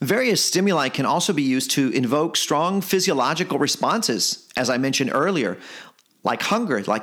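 A passionate, fairly bright voice with lively intonation at a moderate pace. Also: man.

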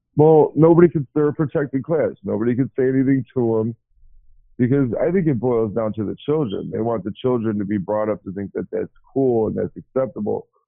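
A man speaks at a fairly quick pace with a medium pitch and ordinary pitch variation. Music plays in the background. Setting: phone call, low quality speakerphone.

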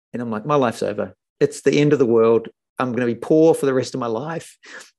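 A man with a New Zealand accent, dark and mellow in tone, at a fairly quick pace with ordinary pitch variation. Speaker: podcast host and faith-at-work business leader. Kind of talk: interview conversation.

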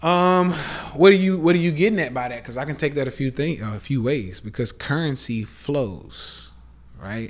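On a very clean recording with a silent background, a man with a Southern US accent speaks at a moderate pace in a fairly high pitch, his tone animated and his intonation lively. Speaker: podcast host, live streamer. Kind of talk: casual rant monologue. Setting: Instagram live stream.

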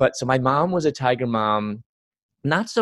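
A man's voice with ordinary pitch variation at a fairly slow pace, in a dry, close sound with no echo. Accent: Chicago. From US Midwest, Chicago. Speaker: Bible teacher and speaker. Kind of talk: interview testimony.

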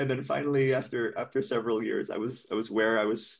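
In a Californian accent, a man talks at a fairly quick pace and medium pitch, with fairly even intonation against a quiet background. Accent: sounds American, Californian. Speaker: podcast guest. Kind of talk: casual chat.

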